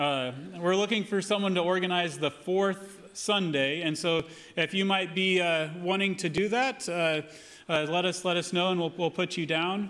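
Speaking at a moderate pace with fairly even intonation, a man has a high-pitched voice. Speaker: pastor giving announcements. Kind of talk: church announcements. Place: church. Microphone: podium.

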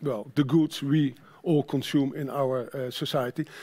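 Here a man speaks in a Dutch accent at a fairly high pitch. His intonation stays fairly even. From Netherlands. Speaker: sustainability manager at a trade association; conference presenter. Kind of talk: conference presentation. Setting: stage with audience. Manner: halting. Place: stage.

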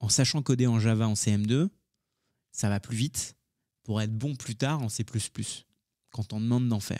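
Over a quiet background, a man speaks at a fairly slow pace in a dark, mellow tone with fairly even intonation. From France (raised by grandparents from age 10, Indian-born). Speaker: tech entrepreneur and YouTuber; YouTuber. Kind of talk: casual interview chat. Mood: relaxed, conversational. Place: studio. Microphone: studio mic.

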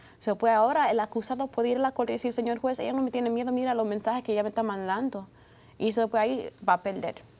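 Her tone dark and mellow, a woman talks very fast at a fairly high pitch with fairly even intonation. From United States, Dominican parents. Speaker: lawyer. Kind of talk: TV panel discussion. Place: studio. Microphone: lapel.

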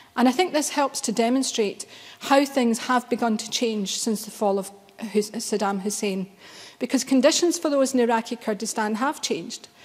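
A woman with a Glaswegian accent, fairly high in pitch, ordinary pitch variation, moderate pace. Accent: Glaswegian Scottish. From Scotland, Glasgow. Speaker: member of parliament. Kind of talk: parliamentary speech. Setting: parliament chamber. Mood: solemn, grave. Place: hall. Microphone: podium.

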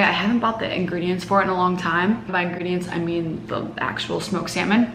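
A woman talks at a fairly quick pace with ordinary pitch variation, with audible room echo and light background noise. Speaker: cooking vlogger. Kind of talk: casual vlog chat. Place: kitchen. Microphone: camera far.

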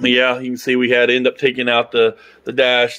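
A man is talking. His pace is very fast. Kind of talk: casual vlog chat. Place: garage. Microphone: phone near.

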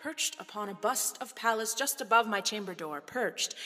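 With music in the background, a woman with a fairly high pitch talks at a moderate pace with ordinary pitch variation. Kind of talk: poetry reading.

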